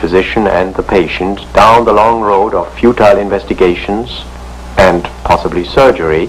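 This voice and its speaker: Against noticeable background noise, a man talks at a fairly low pitch. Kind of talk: educational film narration.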